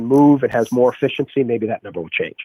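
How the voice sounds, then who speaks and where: A man talks at a very fast pace with a Boston accent. His pitch is fairly high. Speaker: strength and conditioning coach and athletic trainer. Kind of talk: podcast interview conversation.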